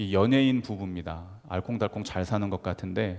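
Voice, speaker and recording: In a Gyeongsang accent, a man talks at a moderate pace with a fairly low pitch and ordinary pitch variation. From Gyeongsang region, South Korea. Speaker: pastor. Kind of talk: sermon.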